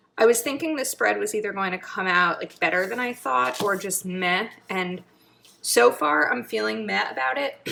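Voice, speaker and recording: A woman speaks at medium pitch and a moderate pace, with very wide pitch swings. Her tone is bright and sharp, with vocal fry. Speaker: planner YouTuber. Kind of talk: casual craft tutorial. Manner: chatty, thinking aloud.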